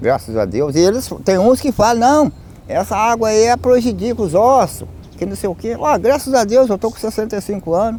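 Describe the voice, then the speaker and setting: This man's high pitch and lively intonation come at a moderate pace. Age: 60s. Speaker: park visitor interviewee. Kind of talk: documentary interview.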